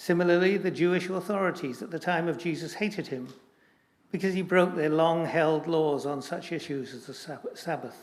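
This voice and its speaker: A man with a high pitch and a Scottish accent, at a moderate pace with fairly even intonation. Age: 80s+. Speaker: church assembly commissioner. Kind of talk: formal debate speech.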